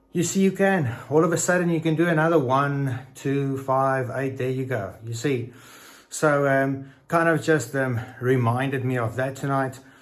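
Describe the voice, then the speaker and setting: Ordinary pitch variation carries through audible room echo. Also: man, medium pitch for a man, moderate pace. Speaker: fitness vlogger. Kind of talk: casual vlog talk. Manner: halting.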